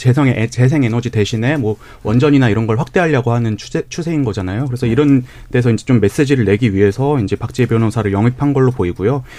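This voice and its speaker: A man with a medium pitch and a dark, mellow tone speaks at a very fast pace with ordinary pitch variation. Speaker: youth political group leader. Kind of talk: radio panel debate. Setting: radio studio.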